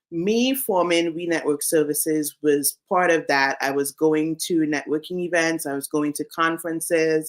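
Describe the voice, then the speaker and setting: Very deep and low in pitch, a woman speaks in a Caribbean accent at a fairly slow pace with fairly even intonation. The recording is very clean, with a silent background. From Saint Vincent and the Grenadines. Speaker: career coach, business founder. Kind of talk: interview.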